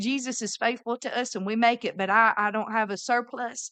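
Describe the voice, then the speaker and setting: A woman with a Southern US accent, fairly even intonation, a quiet background and a dry, close sound with no echo. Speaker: missionary. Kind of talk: casual chat.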